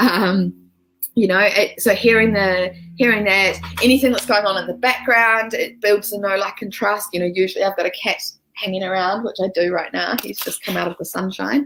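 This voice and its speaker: With a New Zealand accent, a woman speaks at a moderate pace, her pitch medium and her intonation fairly even. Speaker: social media business coach. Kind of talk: live-streamed training. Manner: casual, with many fillers.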